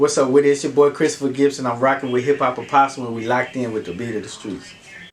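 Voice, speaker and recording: Very fast speech over noticeable background noise. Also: man, medium pitch for a man, ordinary pitch variation. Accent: American. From Texas, Garland (Dallas area). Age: 30s. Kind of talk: interview. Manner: casual, conversational.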